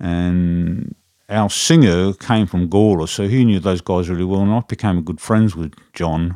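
This man, with an Australian accent, has a very deep, low pitch and a dark, mellow tone, speaking at a fairly slow pace with fairly even intonation. The recording is very clean and dry, close with no echo, over a silent background. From South Australia, Adelaide. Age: 60s. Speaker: drummer and live audio engineer. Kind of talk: casual interview chat.

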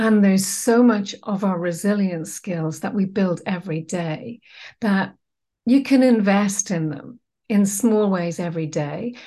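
A woman speaks at a fairly slow pace in a dark, mellow tone that is somewhat breathy. Her pitch is medium with ordinary variation, and the background is quiet. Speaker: wellbeing trainer and co-founder. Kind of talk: interview, casual conversation.

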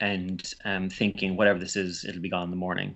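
A man's very deep, low voice, flat and monotone, at a moderate pace. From Ireland. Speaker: author and recovery coach. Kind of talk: podcast interview. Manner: halting, many repetitions.

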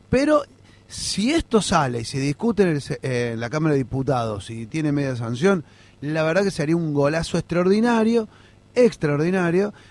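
Delivery keeps to a moderate pace. Pitch swings are very wide. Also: man, fairly high pitch for a man. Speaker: political activist. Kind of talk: interview.

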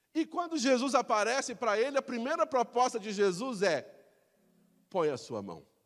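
An animated tone with lively intonation, in a Brazilian accent. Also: man, extremely high pitch for a man, moderate pace. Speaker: pastor. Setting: church. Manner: animated, rhetorical, exhorting the congregation with direct questions; impassioned, urgent, emphatic and conversational.

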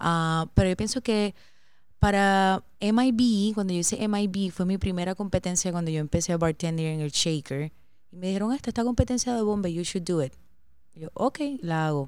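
It is an ordinary speaking voice from a woman at medium pitch, with ordinary pitch variation and a moderate pace, on a very clean recording with a silent background. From Puerto Rico, San Juan area. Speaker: bartender, podcast co-host. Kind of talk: casual chat.

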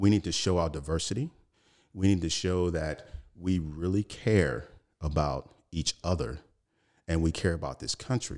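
With an American accent, the speaker goes at a fairly slow pace with long, frequent pauses and ordinary pitch variation, in a very clean recording with a silent background. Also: man. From Chicago, US Midwest. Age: 40s. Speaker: political candidate, retired Navy SEAL. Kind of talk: interview. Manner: halting.

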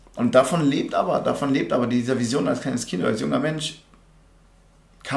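A man talks at a very fast pace. His pitch is medium, and audible room echo surrounds the voice. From Germany, Remscheid (Bergisches Land). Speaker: American football player. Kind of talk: casual chat.

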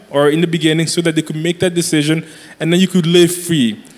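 A high-pitched male voice. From Congo. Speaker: young adult pastor. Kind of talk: live church panel discussion. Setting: stage with audience.

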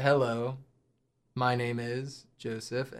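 Putting on a robotic character voice, a man speaks at a medium pitch in a monotone, flat intonation. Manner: robotic, flat.

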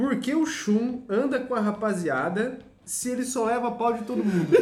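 A man's high-pitched, animated voice with audible room echo. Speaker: podcast host. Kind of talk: casual chat.

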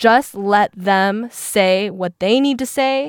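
Speaking very slowly, a woman uses lively intonation. The recording is very clean with a silent background and a dry, close sound with no echo. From Seattle, US Pacific Northwest. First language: Mandarin. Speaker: podcast co-host. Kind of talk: casual chat.

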